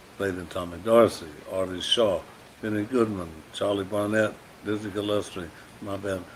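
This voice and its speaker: A man speaks in a fairly low pitch with a flat, monotone delivery. His pace is moderate, broken by long and frequent pauses. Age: 80s. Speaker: trumpet player. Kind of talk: recorded birthday greeting.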